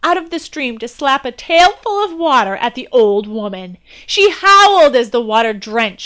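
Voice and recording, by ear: A passage is being read aloud. The delivery is in a natural voice.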